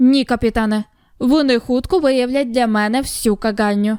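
On a very clean recording with a silent background, a woman puts on a character voice, high in pitch with ordinary pitch variation, at a moderate pace. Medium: read story. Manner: gruff, blunt.

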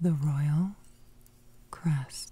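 Whispering at a very slow pace. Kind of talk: ASMR guided imagery narration. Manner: whispered.

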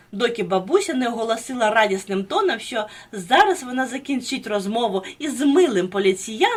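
This is plain reading aloud. Its intonation is lively.

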